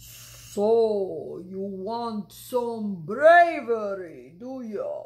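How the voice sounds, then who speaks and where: A put-on character voice from a woman, pitched fairly high, delivered at a very slow pace. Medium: read story. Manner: calm, measured, reassuring.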